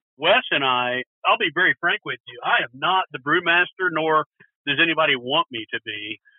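A man with a Texan accent at a moderate pace, with lively intonation and big swings in loudness. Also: fairly high pitch for a man. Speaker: brewery and restaurant owner. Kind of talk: interview.

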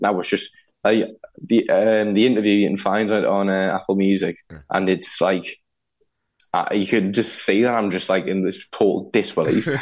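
At a moderate pace, a man with a fairly low pitch talks in an unremarkable speaking voice with fairly even intonation. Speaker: musician. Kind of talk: interview anecdote.

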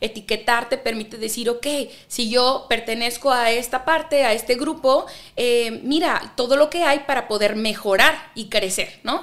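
A woman's high voice in a northwestern Mexican accent, at a fairly slow pace with ordinary pitch variation, on a very clean recording with a silent background. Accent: northwestern Mexican (Baja California). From Ensenada, Baja California, Mexico. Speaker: psychotherapist. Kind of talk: interview.

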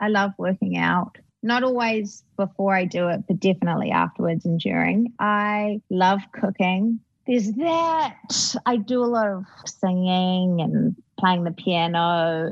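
A woman's medium-pitched voice with a New Zealand accent, ordinary pitch variation and very even loudness at a fairly slow pace, dry and close with no echo against a quiet background. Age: 20s. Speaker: actress. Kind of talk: casual interview chat.

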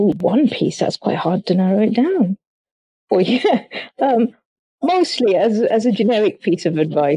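At a moderate pace, a woman with a fairly high, somewhat breathy voice and a dark, mellow tone makes very wide pitch swings at very even loudness, with long, frequent pauses. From Sri Lanka, then West Yorkshire from about 16. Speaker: romance novelist. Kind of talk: interview.

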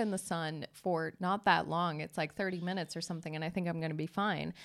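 A woman with an American accent speaks fairly quickly in a fairly low, animated voice, with hardly any pauses. It is a very clean recording with a silent background. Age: 30s. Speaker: podcast host. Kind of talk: casual chat.

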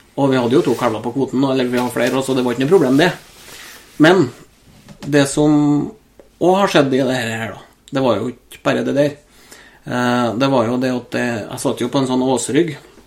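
At a moderate pace, a man speaks with medium pitch and ordinary pitch variation. He leaves long, frequent pauses. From Norway, Trøndelag (Steinkjer area). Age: 30s. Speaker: hunter and ballistics enthusiast. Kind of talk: casual chat.

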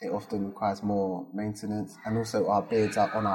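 Man with a South London accent at a fairly quick pace, over noticeable background noise. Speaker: business founder. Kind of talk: interview.

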